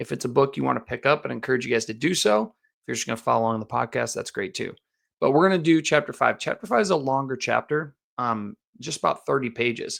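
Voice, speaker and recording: A man at medium pitch with vocal fry, very fast pace and lively intonation, on a very clean recording with a silent background. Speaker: podcast host; youth football coach. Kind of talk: religious teaching podcast monologue. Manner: casual, conversational.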